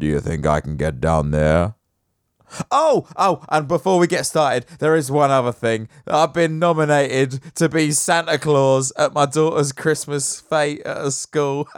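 A man with an English accent, speaking at a fairly slow pace. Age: 30s. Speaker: podcast host. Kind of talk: casual chat. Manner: animated.

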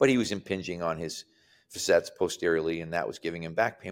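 Spoken at a fairly quick pace, the recording is very clean with a silent background and has a dry, close sound with no echo. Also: man. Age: 60s. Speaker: strength and conditioning coach. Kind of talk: casual chat.

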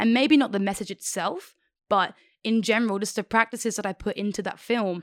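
A woman speaks in an Australian accent with an animated tone, her pitch medium and her pace fairly quick. The sound is dry and close with no echo, on a very clean recording over a silent background. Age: 20s. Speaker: aspiring cinematographer. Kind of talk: casual chat.

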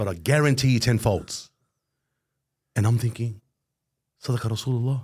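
On a very clean recording with a silent background, a man speaks at medium pitch and a moderate pace, sounding somewhat breathy. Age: 40s. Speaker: podcast co-host. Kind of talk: casual interview chat.

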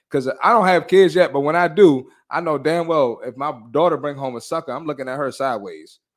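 An ordinary speaking voice from a man at a fairly quick pace, hardly any pauses, on a very clean recording with a silent background. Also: fairly high pitch for a man, ordinary pitch variation. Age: 30s. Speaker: fitness podcast host. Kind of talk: casual chat; pep talk. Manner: blunt, forceful, motivating.

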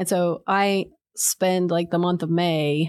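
A normal speaking voice with an American accent moves at a fairly slow pace with fairly even intonation. The background is quiet. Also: woman. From West Virginia. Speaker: art education professor. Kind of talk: casual interview. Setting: studio.

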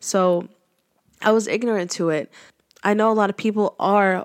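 A woman speaks at a moderate pace with a medium pitch and flat, monotone intonation. The recording is very clean, with a silent background. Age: 20s. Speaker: podcast host sharing faith testimony. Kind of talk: personal testimony monologue. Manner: casual with many filler words.

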